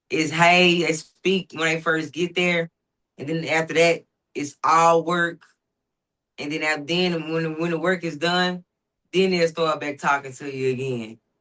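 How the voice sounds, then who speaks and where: In a Southern US accent, a woman with a fairly low pitch and a bright, sharp tone talks at a fairly slow pace with fairly even intonation. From US South, Dallas, Texas (Oak Cliff). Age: 40s. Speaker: professional boxer. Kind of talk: interview.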